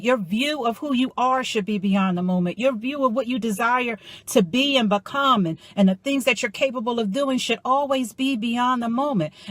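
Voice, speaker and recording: With hardly any pauses, a woman speaks at a high pitch and a moderate pace. Her tone is animated, with ordinary pitch variation. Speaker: motivational life coach. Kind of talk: motivational talk.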